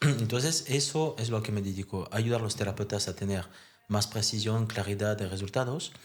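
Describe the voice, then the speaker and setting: In a French accent, the somewhat breathy speaker holds a moderate pace. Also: man, fairly low pitch for a man, ordinary pitch variation. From France. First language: French (speaking Spanish). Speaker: therapist and therapist trainer. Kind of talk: podcast interview.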